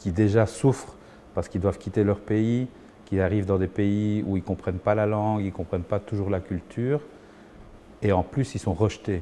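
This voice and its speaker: A man talks at a moderate pace with a fairly low pitch and a dark, mellow tone. His intonation is fairly even, with long, frequent pauses. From Belgium, Liège (Saint-Léonard), born in Chile. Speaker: musician and singer. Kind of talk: documentary interview testimony. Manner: hesitant, frequent repetitions.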